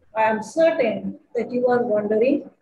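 Light background noise and audible room echo around a woman's voice. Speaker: event host teacher. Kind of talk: formal welcome speech. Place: home room. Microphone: webcam.

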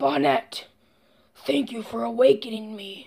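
A put-on character voice from a man, high-pitched and full of very wide pitch swings. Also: moderate pace. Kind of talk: formal, dramatic. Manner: evil, sinister.

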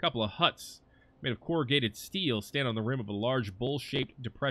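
Ordinary rises and falls in pitch while reading aloud in a natural voice

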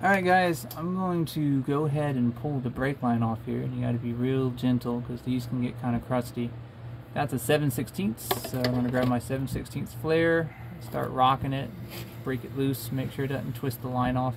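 The speech moves at a moderate pace amid noticeable background noise. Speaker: diy car repair narrator. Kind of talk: tutorial. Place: garage. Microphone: phone near.

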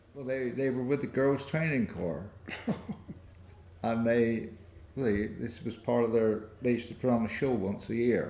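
A man speaks in a dark, mellow tone at a fairly slow pace. His pitch varies normally, and room echo is audible. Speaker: interviewee. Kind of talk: interview answer. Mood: warm, amused. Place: hall.

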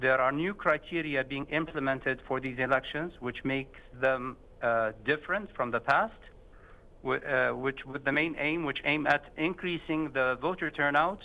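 Vocal fry runs through a man's speech at a medium pitch. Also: ordinary pitch variation, moderate pace.

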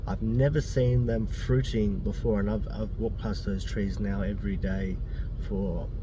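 A man's voice sits very deep and low, with monotone, flat intonation. The sound is dry with no echo, and there is noticeable background noise. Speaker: food vlogger. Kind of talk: casual vlog chat. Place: car. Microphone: phone near.

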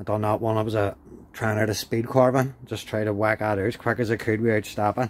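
The voice moves at a fairly quick pace with flat, monotone intonation and a dry sound with no echo. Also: man. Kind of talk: casual vlog chat. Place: workshop. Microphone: phone near.

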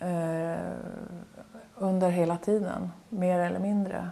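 A woman at a very slow pace, her intonation monotone and flat. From Norrbotten, northern Sweden (near Kalix); Norrbotten, Sweden. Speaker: painter. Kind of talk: interview. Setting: artist's studio. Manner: halting. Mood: calm, reflective. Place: home room.

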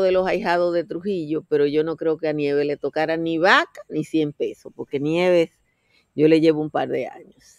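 Over a quiet background, a woman with a fairly low pitch talks at a moderate pace in a dry sound with no echo. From Dominican Republic. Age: 60s. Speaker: political commentator. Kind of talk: casual chat. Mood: animated, conversational. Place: garden. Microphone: webcam.

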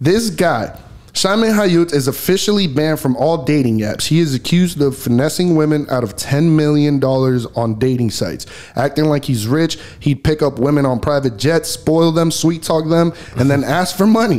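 A man at a moderate pace with lively intonation. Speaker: podcast host. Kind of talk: casual podcast chat. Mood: joking, laughing. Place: home room. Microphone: studio mic.

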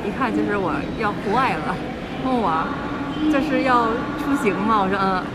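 A woman speaks at a moderate pace with ordinary pitch variation. Loud noise fills the background. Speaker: travel vlogger. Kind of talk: casual vlog chat. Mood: cheerful, laughing at times. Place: station. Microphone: phone near.

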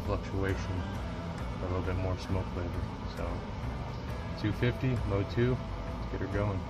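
A man's voice with music in the background. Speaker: home cook reviewer. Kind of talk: casual tutorial vlog. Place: garden. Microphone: phone near.

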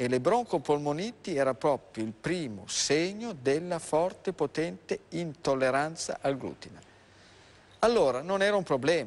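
At a fairly slow pace, a man talks with very wide pitch swings. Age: 60s. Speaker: doctor; guest. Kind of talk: live TV health talk show. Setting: TV studio. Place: studio. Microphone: lapel.

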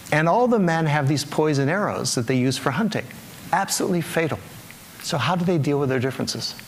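A man's speech comes at a fairly quick pace with ordinary pitch variation. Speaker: conference speaker. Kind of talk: public talk with storytelling. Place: stage. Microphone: lapel.

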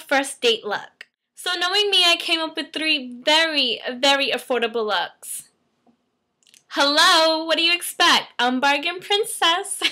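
A woman's raised, projected voice with a bright, sharp tone and lively intonation, over a quiet background. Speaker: fashion vlogger. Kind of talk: casual vlog talk. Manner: chatty, animated. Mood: playful, upbeat. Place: home room. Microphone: webcam.

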